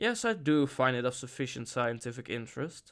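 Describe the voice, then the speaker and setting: Using a put-on character voice, a man talks fairly quickly at a medium pitch with a resonant sound. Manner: authoritative.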